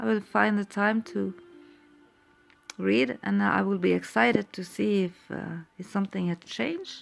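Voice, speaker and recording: With a Norwegian accent, a woman speaks at a fairly slow pace with a fairly low pitch and very wide pitch swings while music plays in the background. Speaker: tarot reader. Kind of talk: tarot reading. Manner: halting.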